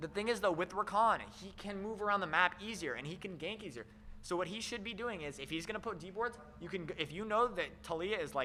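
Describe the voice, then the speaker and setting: A man's high-pitched, raised, projected voice moves at a fairly quick pace with ordinary pitch variation. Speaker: esports caster. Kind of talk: live commentary. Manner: animated; loud.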